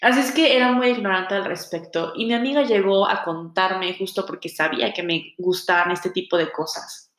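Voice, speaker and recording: Speaking at a moderate pace with hardly any pauses, a woman uses lively intonation at a medium pitch. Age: 20s. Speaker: podcast host, tarot reader. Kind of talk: solo monologue podcast introduction.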